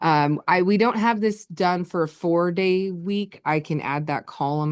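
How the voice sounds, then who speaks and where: A woman's normal speaking voice, fairly low in pitch, at a fairly slow pace with ordinary pitch variation and a quiet background. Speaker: school administrator presenting to board. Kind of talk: presentation at board work session.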